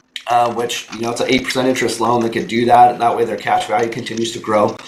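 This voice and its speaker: A man speaks in an animated tone, with noticeable background noise and audible room echo. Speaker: insurance benefits trainer. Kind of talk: training presentation. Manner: casual, animated.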